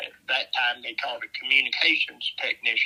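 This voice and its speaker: A man with a Southern US accent. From US South. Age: 70s. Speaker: navy veteran. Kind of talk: interview. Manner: hesitant, many fillers.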